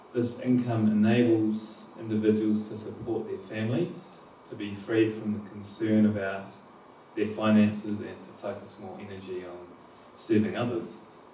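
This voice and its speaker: A man's fairly low voice at a moderate pace, fairly even in intonation, with audible room echo and light background noise. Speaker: presenter. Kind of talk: conference talk. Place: hall.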